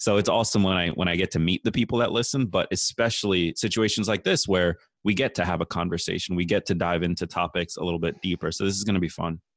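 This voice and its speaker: Against a quiet background with a dry, close sound and no echo, a man with a very deep, low pitch talks at a very fast pace with fairly even intonation and hardly any pauses. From immigrated from a developing country. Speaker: podcaster and public speaker. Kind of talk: interview conversation.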